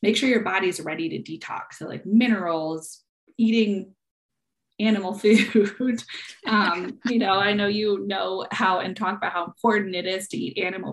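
A woman speaks at a medium pitch with ordinary pitch variation. It is a normal speaking voice at a moderate pace. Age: 30s. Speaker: functional nutrition practitioner. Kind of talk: casual interview.

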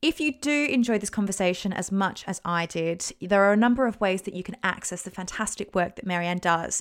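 With an Australian accent, a woman at medium pitch talks at a fairly quick pace with hardly any pauses and ordinary pitch variation, on a very clean recording with a silent background. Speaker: podcast host. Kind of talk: interview, casual chat. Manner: enthusiastic, gushy.

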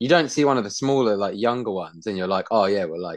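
A man with an English accent talks against a quiet background. His fairly low voice has lively intonation. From Britain. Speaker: podcast co-host. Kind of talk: casual chat.

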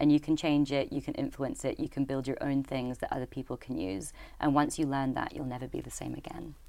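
A woman talks at a fairly quick pace in a Scottish Highland accent, with hardly any pauses. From Scottish Highlands. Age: 30s. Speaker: social enterprise co-founder. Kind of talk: casual interview. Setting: studio.

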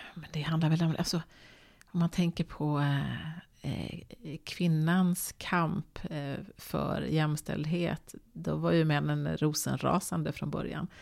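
The background is silent and the recording very clean. A woman talks very slowly. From Sweden, Borås. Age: 50s. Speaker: TV presenter. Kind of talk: casual chat. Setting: home kitchen.

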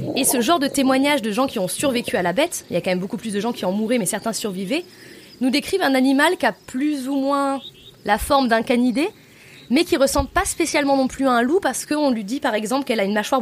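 Speaking at a very fast pace, a woman with a high pitch uses lively intonation. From France, Lozère. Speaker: tour guide. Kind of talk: storytelling.

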